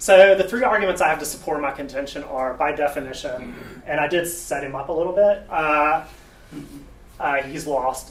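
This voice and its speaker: Speaking at a moderate pace with a Southern US accent, a man uses a fairly high pitch that varies in an ordinary way. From US South. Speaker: software developer, debate speaker. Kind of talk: tech talk debate presentation. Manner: casual, halting with fillers.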